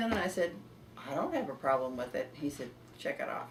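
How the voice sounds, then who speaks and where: A woman's fairly quick, lively-toned speech over noticeable background noise. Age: 80s+. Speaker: healing client giving testimonial. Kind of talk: interview answer.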